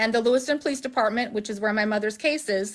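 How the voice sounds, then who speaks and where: Against a quiet background, a woman speaks fairly quickly in a high voice, animated in tone and lively in intonation. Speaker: family member of a missing person. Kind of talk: livestream interview. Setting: livestream video call. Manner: fast.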